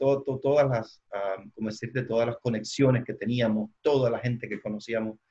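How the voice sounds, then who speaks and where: At a moderate pace, the delivery keeps a fairly even intonation. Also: man. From Cuba. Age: 40s. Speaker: church leader and trainer. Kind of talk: interview. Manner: halting, many fillers.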